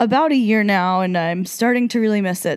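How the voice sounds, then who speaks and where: A woman with an American accent talks at a moderate pace with medium pitch. The recording is very clean, with a silent background. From New Jersey. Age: 20s. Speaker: podcast co-host. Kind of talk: casual monologue.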